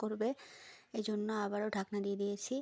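A woman speaks in a dry, close sound with no echo at all. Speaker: cooking video creator. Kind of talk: cooking tutorial. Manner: casual, chatty.

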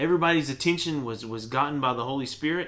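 Man at a moderate pace, ordinary pitch variation, light background noise. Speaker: church teacher. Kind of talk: sermon. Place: home room. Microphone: webcam.

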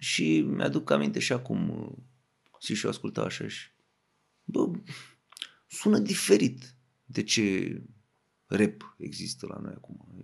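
The speech comes very slowly, with long, frequent pauses. Its loudness swings widely. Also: man. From Romania, Craiova (Oltenia). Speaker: rapper. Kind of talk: casual chat.

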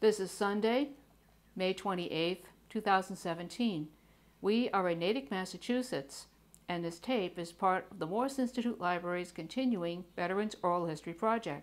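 Moderate pace and ordinary pitch variation from a female speaker. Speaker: oral history interviewer. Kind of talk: interview questions. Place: home room.

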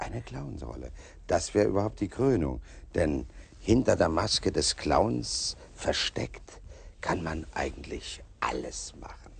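Very slowly, a man speaks with a very deep, low pitch and vocal fry, his pitch swinging very widely in a dry sound with no echo. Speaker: actor as talk show guest. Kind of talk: interview answer. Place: studio.

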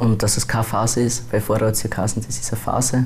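Light background noise sits under the recording. The voice belongs to a man. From Austria, Bruck; Austria. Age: 20s. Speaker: transgender YouTuber; interviewee. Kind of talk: interview. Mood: calm, a bit reserved. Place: studio. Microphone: lapel.

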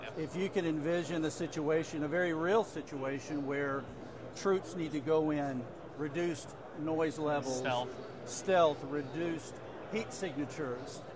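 Noticeable background noise sits behind a man speaking at a moderate pace. The sound is dry with no echo, and his pitch varies in an ordinary way. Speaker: company sales executive. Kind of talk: interview answer. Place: hall. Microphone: lapel.

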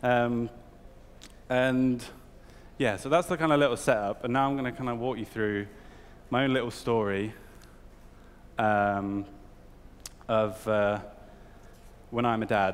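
Speaking at a fairly slow pace with long, frequent pauses, a man with a British accent uses ordinary pitch variation. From UK. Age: 20s. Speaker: art director. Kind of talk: talk to an audience. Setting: stage with audience. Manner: hesitant, filler-heavy. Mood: casual, humorous. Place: hall.

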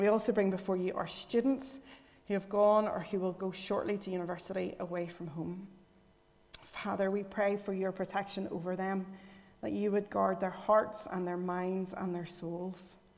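With a Northern Irish accent, a woman speaks at medium pitch and a moderate pace in a monotone, flat intonation. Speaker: lay worship leader. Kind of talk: scripture reading and prayer. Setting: church.

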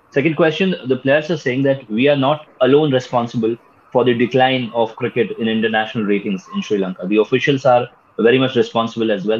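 His pitch shows ordinary variation. A man speaks at a very fast pace. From India. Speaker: sports show host. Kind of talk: panel discussion. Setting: video call. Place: home room. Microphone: video call.

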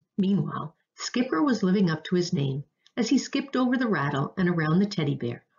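An unforced reading voice with lively intonation over a quiet background.

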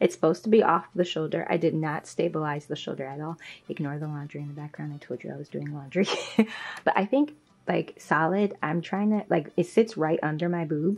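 Loudness swings widely as a woman speaks at a fairly low pitch and a fairly quick pace with ordinary pitch variation. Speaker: sewing vlogger. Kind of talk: casual vlog chat. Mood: upbeat, laughing at times. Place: home room. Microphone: phone near.

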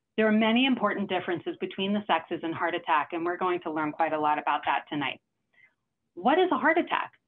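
A woman's lively intonation over light background noise. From New York City. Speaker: cardiologist. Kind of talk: lecture. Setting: video call. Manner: fast talker. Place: home room. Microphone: webcam.

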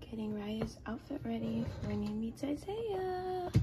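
A woman at a fairly slow pace, with loud music in the background. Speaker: expectant mother vlogger. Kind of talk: casual vlog chat. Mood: emotional, anticipating birth.

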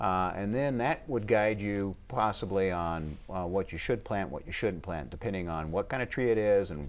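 A man talks at a moderate pace with hardly any pauses. His fairly low pitch shows ordinary pitch variation. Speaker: city arborist. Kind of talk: call-in gardening show. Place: studio. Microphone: lapel.

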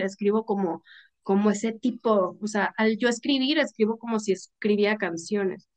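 Against a quiet background, a woman with a fairly high pitch speaks at a fairly slow pace with ordinary pitch variation. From Mexicali, Baja California, northern Mexico; Baja California, Mexico. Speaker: author and content creator; interview guest. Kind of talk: casual chat. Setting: video call. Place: home room. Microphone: video call.

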